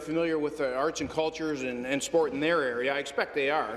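A man speaks with a Canadian accent. His voice is fairly high, and his pace is very fast. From Canada. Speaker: provincial legislator. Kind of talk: parliamentary statement. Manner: halting. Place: hall. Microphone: podium.

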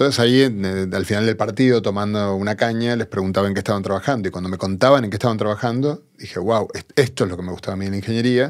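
A man with a fairly low pitch talks very fast, with hardly any pauses and ordinary pitch variation. The background is quiet. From Argentina. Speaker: physicist; podcast guest. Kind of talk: interview. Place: studio. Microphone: studio mic.

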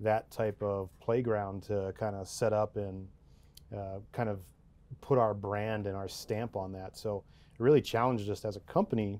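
In a dark, mellow tone, a man speaks with monotone, flat intonation. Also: fairly low pitch for a man, moderate pace. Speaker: guest. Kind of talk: interview answer. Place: studio. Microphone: lapel.

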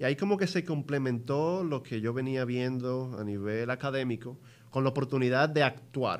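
Moving at a moderate pace, a man talks with ordinary pitch variation. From Dominican Republic. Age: 30s. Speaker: investment entrepreneur; guest. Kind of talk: interview. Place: studio. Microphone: studio mic.

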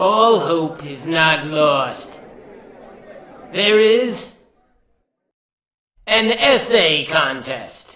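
A put-on character voice sits at a middle pitch. It moves at a very slow pace with long, frequent pauses. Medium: audio drama. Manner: grave, forceful, commanding.

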